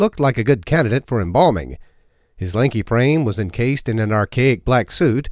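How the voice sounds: A natural reading voice. Its pitch rises and falls by an ordinary amount.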